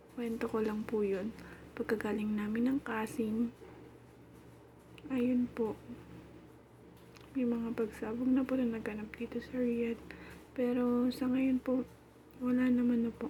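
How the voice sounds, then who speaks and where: A woman talks in a high pitch with a monotone, flat intonation, at a fairly slow pace. Long, frequent pauses break her speech, and there is noticeable background noise. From Philippines. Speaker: domestic worker and vlogger. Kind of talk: casual vlog narration. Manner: chatty.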